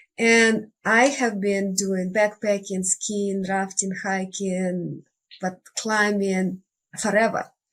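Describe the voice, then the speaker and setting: Very slowly and in a monotone, flat intonation, a woman with a Russian accent speaks at a medium pitch. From Russia (Siberia). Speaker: life coach and nature retreat guide. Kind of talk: interview.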